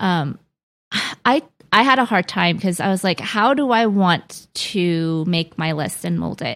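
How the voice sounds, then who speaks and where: In a very clean recording with a silent background, a woman with an American accent talks at a medium pitch in an unremarkable speaking voice. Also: lively intonation, fairly slow pace. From US, Korean American. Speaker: book podcast co-host. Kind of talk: casual chat.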